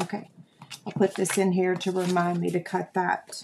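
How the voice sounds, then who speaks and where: Against noticeable background noise, a woman with an American accent speaks fairly slowly at medium pitch in a flat monotone. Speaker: crafting video host. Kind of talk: casual live stream chat. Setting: live stream video. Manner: tired, chatty.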